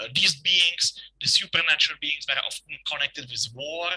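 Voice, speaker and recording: A man speaks at a moderate pace in a fairly high voice with a bright, sharp tone. The sound is dry and close, with no echo. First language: Czech. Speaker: folklore professor. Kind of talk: lecture. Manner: halting. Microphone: poor equipment.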